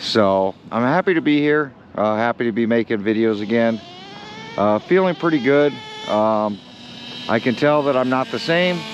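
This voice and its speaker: Against noticeable background noise, a man at a medium pitch speaks with lively intonation. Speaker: RC hobby vlogger. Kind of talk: casual hobby vlog. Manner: slow.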